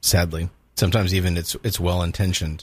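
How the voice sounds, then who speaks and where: A man with a Southern California accent speaks at a fairly quick pace in a very deep, low, somewhat breathy voice with fairly even intonation, on a very clean recording with a silent background. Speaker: ministry leader, abuse prevention advocate. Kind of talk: interview. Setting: studio.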